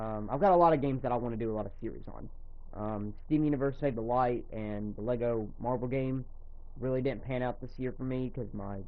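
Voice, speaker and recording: A man with a medium pitch and ordinary pitch variation talks at a fairly quick pace, with audible room echo. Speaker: gaming streamer. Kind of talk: live stream commentary. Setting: home live stream. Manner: speaking out loud, not whispering; casual with many fillers.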